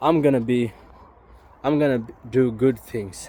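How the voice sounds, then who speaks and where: A man with a non-native accent and ordinary pitch variation. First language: not English. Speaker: YouTuber. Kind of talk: casual vlog monologue. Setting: outdoors, walking in forest. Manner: halting, stumbles on words.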